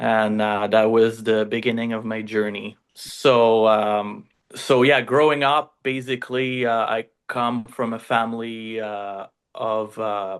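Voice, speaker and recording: Over a quiet background, a man with a Quebec accent speaks at a very slow pace. His pitch is medium and his intonation monotone and flat. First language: French. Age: 40s. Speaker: fishing charter owner and entrepreneur. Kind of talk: casual interview storytelling. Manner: halting, many fillers.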